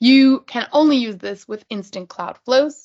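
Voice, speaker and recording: The background is quiet. A woman is speaking. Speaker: user group presenter; presenter. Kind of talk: technical presentation. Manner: fast. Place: home room. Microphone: video call.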